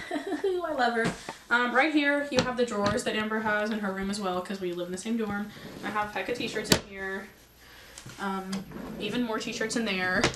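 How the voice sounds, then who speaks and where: A fairly high-pitched woman keeps a moderate pace as noticeable noise sounds behind her. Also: ordinary pitch variation. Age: young. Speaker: college student. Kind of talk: casual talk to camera.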